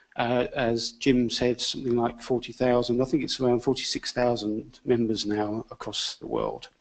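With monotone, flat intonation and hardly any pauses, a man with a medium pitch talks at a fairly slow pace. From UK. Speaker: engineering organisation chair. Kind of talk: panel presentation. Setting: lecture hall with audience.

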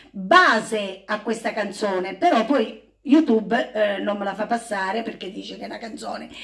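Behind this woman's voice, all is quiet. She keeps an even, middling speed, and her pitch moves the usual amount. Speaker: home singer vlogger. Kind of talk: casual vlog chat. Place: home room.

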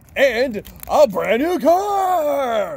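Put-on character voice from a man, extremely high in pitch. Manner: upbeat announcer.

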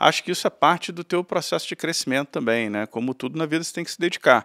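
A man talking at a fairly quick pace with ordinary pitch variation, the sound dry with no echo and a quiet background. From Rio de Janeiro, Brazil (Tijuca, north zone); Rio de Janeiro. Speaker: banker, investment bank partner; interview guest. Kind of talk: interview. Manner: halting, many fillers. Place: studio. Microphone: studio mic.

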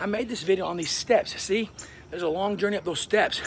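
A man's voice with ordinary pitch variation, music playing behind him. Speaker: sign language teacher. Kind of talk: motivational tutorial vlog. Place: garden. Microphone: phone near.

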